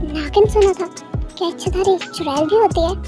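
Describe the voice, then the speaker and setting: A woman puts on a character voice at an extremely high pitch. Clear music plays in the background. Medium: read story.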